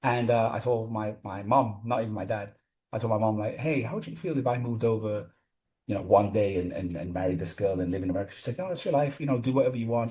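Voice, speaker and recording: A man's medium-pitched voice in a Gibraltarian accent, dark and mellow in tone, somewhat breathy, at a very fast pace. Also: ordinary pitch variation. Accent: Gibraltarian British English. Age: 30s. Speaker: gym owner and personal trainer. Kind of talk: casual interview. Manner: animated.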